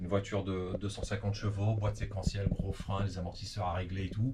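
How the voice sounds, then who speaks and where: Words pour out of a man at a very fast pace. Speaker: rally driver. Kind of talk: interview. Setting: at home. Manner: hesitant, many fillers.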